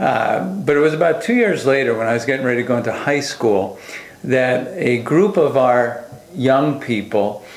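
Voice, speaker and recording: Speaking at a moderate pace with lively intonation, a man with an American accent and a medium pitch is heard amid noticeable background noise and audible room echo. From US Northeast, Long Island, New York. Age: 50s. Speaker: pastor. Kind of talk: testimony. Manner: hesitant, many fillers.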